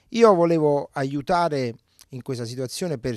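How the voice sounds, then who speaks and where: Recorded as a dry sound with no echo over a quiet background, a man speaks at a moderate pace with ordinary pitch variation. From Naples, Italy; Italy. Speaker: oncologist; interviewee. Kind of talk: interview. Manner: halting, many fillers. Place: home room. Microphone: handheld.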